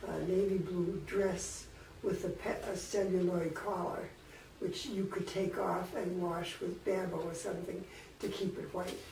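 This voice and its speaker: Over noticeable background noise and audible room echo, a woman speaks at a medium pitch, fairly slowly, with monotone, flat intonation. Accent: American. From Worcester, Massachusetts, US New England. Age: 80s+. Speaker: elderly woman telling her life story. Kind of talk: personal life-history reminiscence. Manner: casual, with hesitations and self-corrections.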